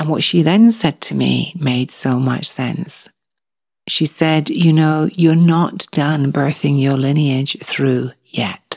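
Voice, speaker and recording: Speaking at a very slow pace, a woman uses a very deep, low pitch with ordinary pitch variation. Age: 50s. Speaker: podcast host. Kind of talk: solo podcast monologue.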